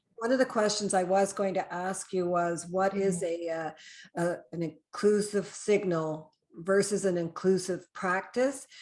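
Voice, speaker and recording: A woman with a plain, everyday voice speaks at a medium pitch, keeping a fairly slow pace and fairly even intonation. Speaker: human resources consultant and podcast host. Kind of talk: podcast interview host.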